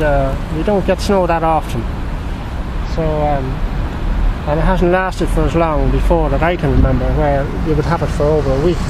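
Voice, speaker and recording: Recorded dry with no echo, a man talks at a moderate pace against noticeable background noise. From Drogheda, Ireland. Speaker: painter. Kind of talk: casual talk while painting outdoors. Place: waterside. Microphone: phone near.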